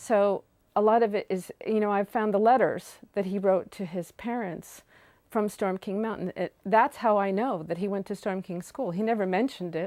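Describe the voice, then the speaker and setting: A dark, mellow voice with an American accent speaks at a moderate pace with fairly even intonation, recorded very cleanly against a silent background with a dry, close sound and no echo. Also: woman, medium pitch for a woman. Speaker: oral history interviewee. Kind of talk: oral history interview. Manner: halting.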